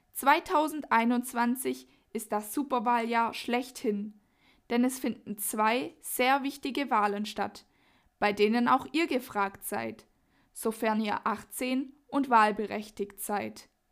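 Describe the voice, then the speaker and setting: Very slow delivery with ordinary pitch variation, in a very clean recording over a silent background. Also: woman, fairly high pitch for a woman. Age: young. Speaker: youth group member presenting the podcast. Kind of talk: scripted narration.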